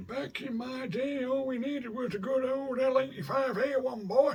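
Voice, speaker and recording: A put-on character voice from a man at an extremely high pitch, delivered at a moderate pace. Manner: nostalgic, gruff, mock.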